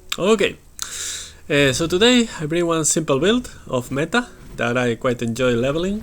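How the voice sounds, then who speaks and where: A man's fairly high voice with a Spanish accent, very wide pitch swings and a moderate pace, against noticeable background noise. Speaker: gaming video creator. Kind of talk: gameplay commentary. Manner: halting, many fillers.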